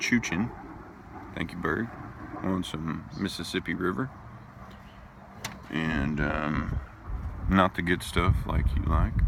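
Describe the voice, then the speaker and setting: A man with a very deep, low pitch speaks at a very slow pace with long, frequent pauses over noticeable background noise. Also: ordinary pitch variation. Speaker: pipe tobacco reviewer. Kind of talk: casual video review. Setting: outdoors at a park.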